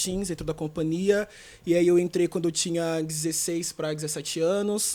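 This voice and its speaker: Pitched high for a man, his dark, mellow voice moves at a moderate pace with fairly even intonation. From Brazil, São Paulo (East Zone). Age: 20s. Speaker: dancer and performing artist. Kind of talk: interview.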